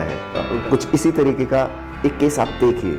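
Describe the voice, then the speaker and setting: Music plays in the background as a man speaks. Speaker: dentist. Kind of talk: casual talk to camera.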